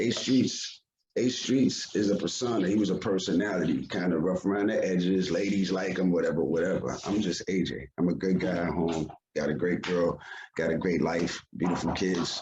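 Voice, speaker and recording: A man with a New York accent speaks at a moderate pace in a very deep, low pitch, with ordinary pitch variation. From Yonkers, New York. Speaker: hip hop artist. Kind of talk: interview.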